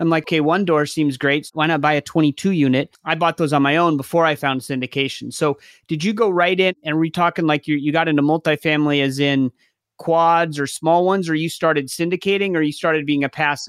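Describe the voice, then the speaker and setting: A man with an ordinary speaking voice talks at a fairly quick pace and fairly high pitch, with fairly even intonation and very even loudness, in a very clean recording with a silent background and a dry, close sound with no echo. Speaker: podcast host. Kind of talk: casual interview chat.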